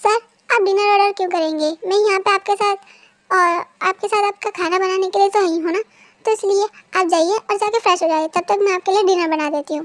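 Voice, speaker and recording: Putting on a character voice, this female-sounding speaker talks at a fairly quick pace with an extremely high pitch. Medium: read story. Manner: polite, modest.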